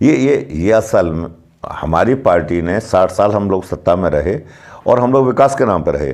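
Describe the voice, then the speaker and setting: A man's fairly low-pitched voice with very wide pitch swings. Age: 60s. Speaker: local party politician. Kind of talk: interview.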